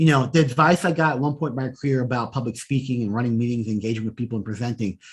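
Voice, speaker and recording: A man talks at a very fast pace with lively intonation and a somewhat breathy sound. The background is quiet. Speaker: data analytics executive. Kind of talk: interview conversation. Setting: podcast.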